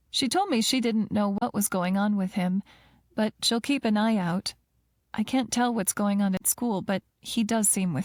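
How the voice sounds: A natural reading voice comes over a quiet background.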